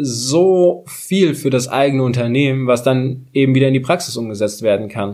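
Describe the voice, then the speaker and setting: At a moderate pace, a man talks in an ordinary speaking voice with a medium pitch. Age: 30s. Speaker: podcast host. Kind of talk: casual chat.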